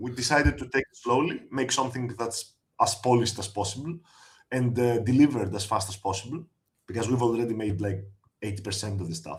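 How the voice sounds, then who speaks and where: A man with a medium pitch speaks at a very fast pace in a somewhat breathy voice. He leaves long, frequent pauses. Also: ordinary pitch variation. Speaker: game designer. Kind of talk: interview.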